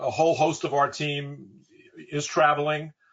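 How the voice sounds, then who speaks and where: At a moderate pace, a man talks with a fairly high pitch in an ordinary speaking voice. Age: 60s. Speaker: real estate advisory executive. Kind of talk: webinar panel discussion.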